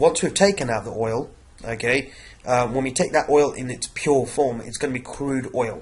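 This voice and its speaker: Somewhat breathy, a man speaks at a moderate pace. His pitch is medium, with ordinary variation. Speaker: science teacher. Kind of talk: revision lecture. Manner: hesitant, many fillers.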